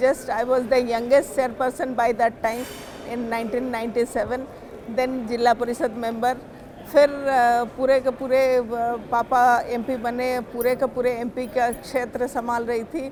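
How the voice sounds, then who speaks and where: The intonation stays monotone and flat over noticeable background noise. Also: woman, high pitch for a woman. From India, Odisha (Ganjam district). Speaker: state legislator. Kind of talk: interview testimony. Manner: hesitant, many fillers.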